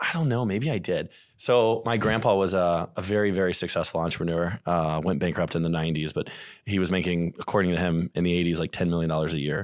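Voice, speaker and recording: A man speaks very fast with a northern US accent, his pitch very deep and low. His pitch varies in an ordinary way, and the recording is very clean with a silent background. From St. Louis, US Midwest. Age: 30s. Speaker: real estate investor and realtor. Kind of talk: casual podcast interview.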